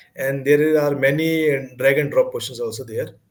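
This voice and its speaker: A man's somewhat breathy, fairly high voice at a fairly quick pace. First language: not English. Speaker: exam candidate sharing success story. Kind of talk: interview. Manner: halting.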